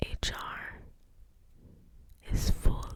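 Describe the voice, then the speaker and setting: A woman is whispering in a breathy way. Noticeable background noise is present. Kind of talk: casual chatty update to camera. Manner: breathy, slow, whispered.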